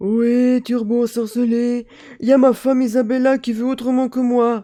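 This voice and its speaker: The put-on character voice sits at a fairly high pitch with monotone, flat intonation. It moves at a moderate pace. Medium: read story. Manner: hesitant, easygoing.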